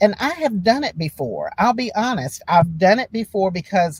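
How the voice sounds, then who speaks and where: A woman's fairly slow voice with vocal fry and very wide pitch swings. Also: dry, close sound with no echo. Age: 60s. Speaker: writer and poet. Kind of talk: interview conversation.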